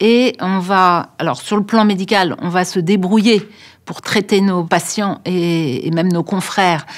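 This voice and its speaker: A medium-pitched woman's voice, very cleanly recorded against a silent background. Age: 60s. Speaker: doctor. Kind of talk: interview. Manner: hesitant, many filler sounds.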